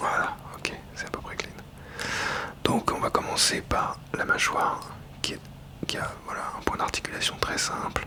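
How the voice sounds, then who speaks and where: A man whispers at a fairly slow pace with long, frequent pauses over noticeable background noise. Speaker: ASMR toy unboxing channel host. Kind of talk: ASMR unboxing and toy review, casual talk to camera. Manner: soft-spoken, whispered, relaxing.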